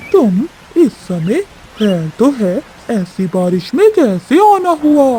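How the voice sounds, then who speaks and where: A cartoonish character voice moves at a fairly slow pace with very wide pitch swings. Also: woman, high pitch for a woman. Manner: boastful.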